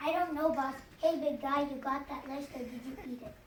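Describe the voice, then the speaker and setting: Someone performs a put-on character voice with a slight echo and light background noise. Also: female-sounding voice, high pitch for a woman, fairly quick pace. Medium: stage play.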